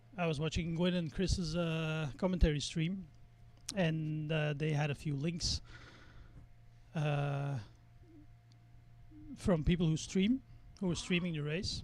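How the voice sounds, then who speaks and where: With a Flemish accent, a man at a fairly high pitch speaks at a fairly slow pace, his intonation fairly even and his pauses long and frequent. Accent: Belgian (Flemish) English. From Belgium. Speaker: sim racing streamer. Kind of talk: casual live-stream chat while racing. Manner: halting, many fillers.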